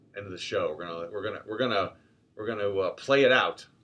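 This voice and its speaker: Very fast speech comes in an American accent. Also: man. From US Midwest, Cleveland, Ohio. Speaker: podcast host. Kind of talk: casual chat. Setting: in a car. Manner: loud.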